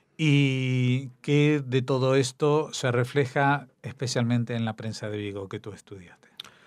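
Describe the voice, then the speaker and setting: A man with an Argentine accent speaks at a fairly slow pace with hardly any pauses. His pitch is medium, his intonation fairly even, and the background is quiet. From Argentina. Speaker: radio host. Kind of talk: radio interview. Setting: studio.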